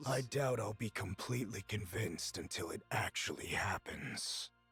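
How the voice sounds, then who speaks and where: Over faint music in the background, a man puts on a character voice, speaking in a calm tone at a moderate pace with a fairly low pitch. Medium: video game. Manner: calm, terse.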